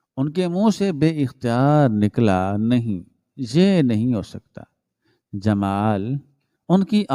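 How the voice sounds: This is a natural reading voice recorded against a quiet background.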